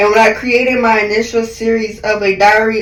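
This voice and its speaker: A woman with a fairly high pitch speaks in an animated tone, with audible room echo. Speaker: beauty vlogger. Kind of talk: voiceover monologue. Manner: loud.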